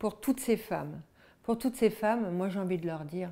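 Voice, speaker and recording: Dark, mellow tone from a woman at medium pitch, her pitch varying in an ordinary way. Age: 60s. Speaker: literacy advocate, formerly illiterate. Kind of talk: personal testimony interview. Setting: at her home. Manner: halting, with repetitions and hesitations.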